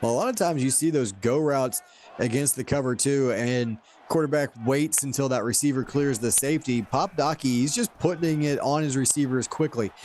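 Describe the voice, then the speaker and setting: A man at a fairly quick pace, fairly high in pitch, with ordinary pitch variation and very even loudness, over noticeable background noise. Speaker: play-by-play commentator. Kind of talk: live commentary.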